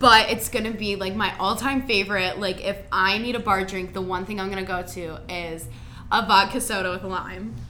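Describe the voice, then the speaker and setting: An American-accented woman speaks at a moderate pace and medium pitch with ordinary pitch variation. Audible room echo and noticeable background noise fill the recording. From Ohio, Cincinnati area. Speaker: college student. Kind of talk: casual chat. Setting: studio.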